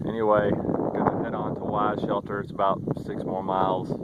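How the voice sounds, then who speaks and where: A man's fairly low, monotone, flat voice over noticeable background noise. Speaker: hiking vlogger. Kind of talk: outdoor vlog narration. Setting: outdoors on snowy trail.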